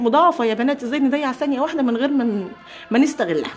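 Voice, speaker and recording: Over noticeable background noise, a woman with an Egyptian accent speaks at a very fast pace in an animated tone with lively intonation. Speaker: homemaking vlogger. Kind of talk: casual vlog chat.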